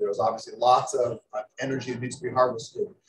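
A man speaks over light background noise. Some room echo can be heard. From United States. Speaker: energy scientist, panelist; panelist. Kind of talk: panel remarks. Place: hall.

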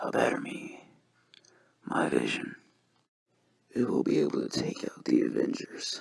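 Using a put-on character voice, a man sounds raspy at a moderate pace, with long, frequent pauses. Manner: menacing, smug.

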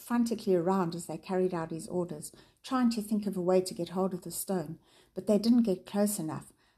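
Natural-voiced reading aloud, its pitch rising and falling in an ordinary way

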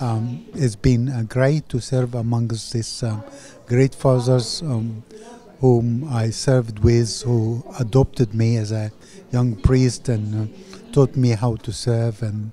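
Speaking at a very slow pace with fairly even intonation, a man is heard in a dry sound with no echo and light background noise. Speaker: parish priest. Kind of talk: interview answer. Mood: grateful, warm. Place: hall. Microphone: handheld.

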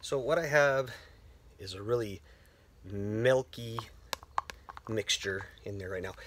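With big swings in loudness and long, frequent pauses, a man talks at a fairly slow pace and a medium pitch with ordinary pitch variation, the sound dry with no echo and noticeable background noise. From French Canada. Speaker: woodcarver and video creator. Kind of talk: tutorial. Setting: workshop, filming alone. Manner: casual, many repetitions and fillers; talkative. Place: garage. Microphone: phone near.

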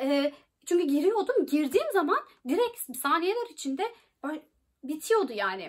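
Against a quiet background, a woman speaks at a moderate pace with an extremely high pitch, very wide pitch swings, and long, frequent pauses. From Turkey. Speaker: YouTuber giving study-abroad advice. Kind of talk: informational vlog. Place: home room. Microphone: phone near.

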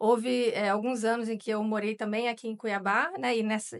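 A woman talks with fairly even intonation at a moderate pace. The background is quiet. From Rio de Janeiro, Brazil. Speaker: journalist. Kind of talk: interview. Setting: studio. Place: studio. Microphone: studio mic.

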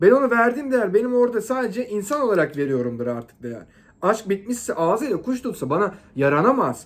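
Loud and animated, a man talks at a fairly quick pace in a high pitch, with very wide pitch swings. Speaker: relationship advice vlogger. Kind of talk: monologue to camera.

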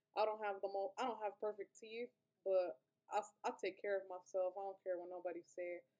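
A fairly quick, dark and mellow voice with monotone, flat intonation. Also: woman, medium pitch for a woman. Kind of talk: casual talk to camera. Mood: hurt, earnest, cautionary. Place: home room. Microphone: webcam.

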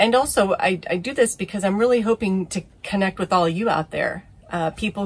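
Here a woman is speaking. Her pace is moderate. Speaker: sailing vlogger. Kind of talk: casual vlog chat. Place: boat. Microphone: phone near.

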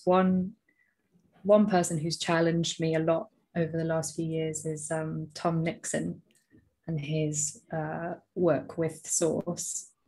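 In a quiet background, a woman with a fairly low pitch speaks very slowly and somewhat breathily in a monotone, flat way, leaving long, frequent pauses. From England, raised in Southeast Asia from age five. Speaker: workplace coach and podcaster; workplace coach, podcaster. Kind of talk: casual interview. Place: home room. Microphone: earbuds.

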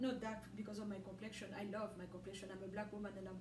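A woman talks at a fairly quick pace against noticeable background noise. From DR Congo (Katanga). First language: French. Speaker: religious video blogger. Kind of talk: religious monologue. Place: home room. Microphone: camera far.

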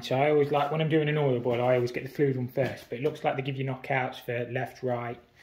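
A somewhat breathy man at a fairly quick pace, in a monotone, flat intonation. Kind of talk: tutorial. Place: home room. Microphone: phone near.

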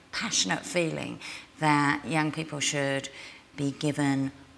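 A woman speaks at a moderate pace with a very deep, low pitch. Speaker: interviewee. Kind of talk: interview answer. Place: hall.

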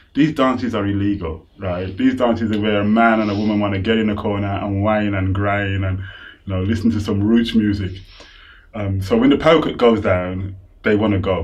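A man speaks with a fairly low pitch and a somewhat breathy voice. His intonation stays fairly even. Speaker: interviewee. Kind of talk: interview answer. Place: home room. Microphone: lapel.

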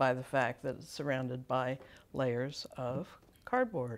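A woman is speaking. Her pitch is very deep and low. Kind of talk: tutorial. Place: workshop. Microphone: lapel.

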